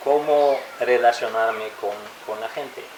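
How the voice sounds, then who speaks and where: There is audible room echo and noticeable background noise behind a man's voice. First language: French and English (speaking Spanish). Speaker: interviewee, foreign resident. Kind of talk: interview. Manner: halting, self-correcting.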